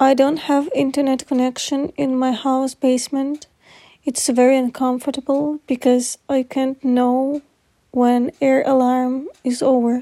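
Dark, mellow tone with a dry, close sound and no echo. The pace is fairly slow and the intonation monotone and flat. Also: woman, high pitch for a woman. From Dnipro, Ukraine. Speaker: civilian in a war zone. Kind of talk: personal audio diary. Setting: basement shelter.

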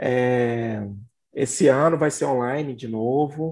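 Intonation stays fairly even in what is a normal speaking voice. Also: man. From Belo Horizonte, Minas Gerais, Brazil. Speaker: horror film critic. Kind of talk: casual chat.

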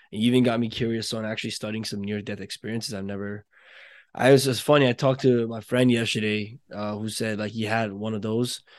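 A man speaks very fast at a medium pitch in a monotone, flat way, with big swings in loudness. The background is quiet. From Nepal. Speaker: podcast host, entrepreneur. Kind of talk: casual interview chat.

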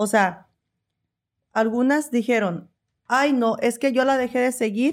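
Over a silent background on a very clean recording, a woman speaks at a fairly high pitch. Hers is an ordinary speaking voice with fairly even intonation. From Veracruz, Mexico. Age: 40s. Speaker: personal trainer and content creator. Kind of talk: casual interview chat.

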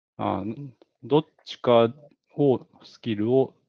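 This man speaks at a medium pitch. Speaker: podcast co-host. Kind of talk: casual chat.

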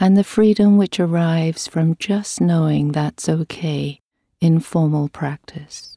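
In a calm, soothing, dark and mellow tone, a woman speaks slowly at a fairly low pitch with fairly even intonation, the sound dry and close with no echo. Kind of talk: guided meditation. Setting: recorded audio meditation with a gong. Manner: slow, calm and soothing, with long pauses between phrases; gentle, even and unhurried.

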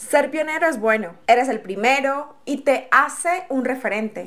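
A woman with a high pitch and lively intonation speaks at a moderate pace. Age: 20s. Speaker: podcast host. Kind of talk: inspirational monologue.

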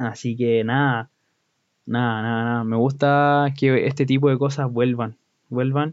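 Speaking fairly slowly in a Chilean accent, a man at a medium pitch keeps a monotone, flat intonation. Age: 20s. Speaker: podcaster. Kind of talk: casual monologue.

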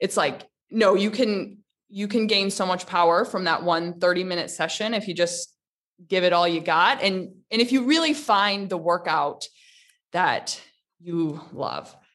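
A woman with an American accent uses a normal speaking voice, medium pitch and ordinary pitch variation at a fairly slow pace. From US Midwest, Michigan. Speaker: online fitness instructor. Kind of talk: interview.

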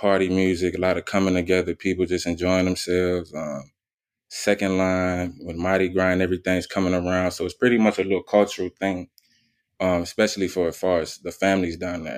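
Speaking at a fairly quick pace in a very deep, low voice with an American accent, a man is heard on a very clean recording with a silent background. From New Orleans, Louisiana. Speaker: music manager. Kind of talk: casual interview.

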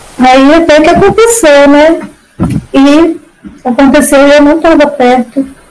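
Speaking in a high voice with ordinary pitch variation and very even loudness, a woman pauses long and often against noticeable background noise. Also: fairly slow pace. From Ceará, Brazil. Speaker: fibromyalgia patient, former hairdresser. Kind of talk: personal testimony in casual interview. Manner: talkative, emotional.

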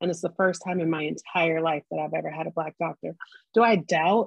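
A woman with a plain, everyday voice, fairly low pitch and a fairly quick pace. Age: 40s. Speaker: podcast host. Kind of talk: casual chat.

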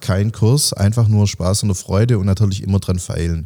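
At a moderate pace, a man speaks in a fairly low, somewhat breathy voice with a dark, mellow tone and ordinary pitch variation, in a very clean recording with a silent background. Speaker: special-needs teacher, author and bit-part actor. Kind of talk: casual interview.

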